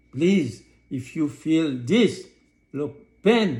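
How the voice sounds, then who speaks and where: Somewhat breathy, a man speaks at a very slow pace with lively intonation and audible room echo. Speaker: holistic health practitioner, talk show host. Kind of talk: health talk show lecture.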